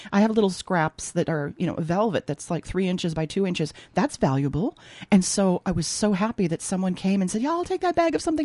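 Speaking very fast with an American accent, a woman has a medium pitch and a dark, mellow tone. Her intonation is lively, and the sound is dry and close with no echo. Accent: Minnesota accent comes out when back home. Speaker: textile artist and opera singer. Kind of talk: casual interview. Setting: radio studio.

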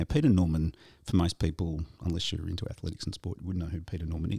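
Somewhat breathy man with an Australian accent and a very deep, low pitch, in a very clean recording with a silent background and a dry, close sound with no echo. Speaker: podcast host. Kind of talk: casual chat.

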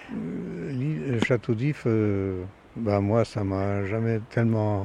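A man speaks at a fairly low pitch over noticeable background noise. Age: 70s. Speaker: retired sailor. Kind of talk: interview. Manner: halting.

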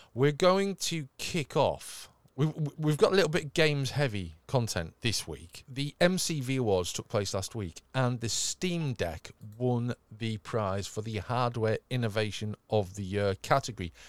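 A man with a slight northern English accent speaks at a medium pitch and a fairly slow pace, with very wide pitch swings. The sound is dry and close with no echo, a very clean recording over a silent background. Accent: slightly moderated northern English. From northern England. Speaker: tech podcast host. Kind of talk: casual chat. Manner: animated.

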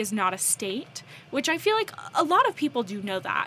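A woman with an American accent speaks in a raised, projected voice. Her high pitch swings very widely. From North Carolina, US. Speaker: co-host/podcaster. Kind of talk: casual chat.

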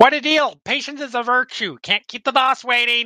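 A put-on character voice, fairly high in pitch, delivered at a moderate pace.

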